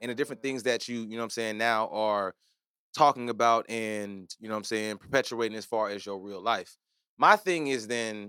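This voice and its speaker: A man's bright, sharp voice at a moderate pace, with big swings in loudness, a dry, close sound with no echo, and a very clean recording with a silent background. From Nigerian heritage. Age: 30s. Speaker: podcast host, comedian. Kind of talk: casual chat. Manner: animated.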